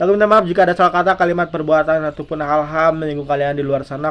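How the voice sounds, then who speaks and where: The man's intonation is fairly even. He speaks very fast. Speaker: tarot reader / YouTuber. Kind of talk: tarot reading monologue; vlog sign-off. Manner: halting, many fillers.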